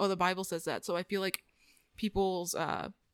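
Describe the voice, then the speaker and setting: With an American accent, a woman talks at a fairly quick pace and a medium pitch in an unremarkable speaking voice, the sound dry and close with no echo on a very clean recording with a silent background. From East Texas (Longview area). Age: 20s. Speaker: podcast guest. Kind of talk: casual chat.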